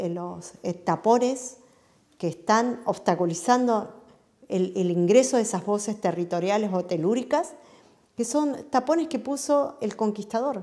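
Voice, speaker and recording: Against a quiet background, a woman with a fairly high, dark and mellow voice talks at a fairly slow pace with lively intonation. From Patagonia, Chubut, Argentina; Chubut, Argentina. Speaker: interviewee. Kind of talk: interview monologue; interview answer. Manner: frequent hesitations (eh). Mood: earnest, reflective. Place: home room. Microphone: lapel.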